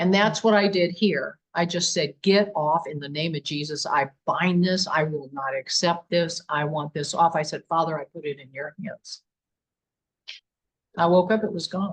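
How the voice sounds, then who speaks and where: Somewhat breathy, a woman speaks at a moderate pace with a fairly low pitch and ordinary pitch variation. Her loudness swings widely, in a dry, close sound with no echo. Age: 70s. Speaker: paranormal investigator. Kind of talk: interview.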